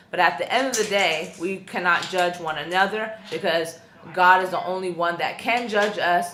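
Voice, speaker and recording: A woman with a fairly low pitch and fairly even intonation talks at a moderate pace, with audible room echo and noticeable background noise. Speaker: YouTuber / vlogger. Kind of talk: personal vlog testimony. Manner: loud, outspoken; casual with many fillers.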